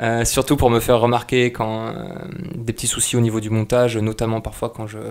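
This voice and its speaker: There is noticeable background noise as a man talks at a fairly quick pace. His medium pitch holds a monotone, flat intonation. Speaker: YouTube channel creator. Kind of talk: casual channel update vlog. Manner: halting, many fillers.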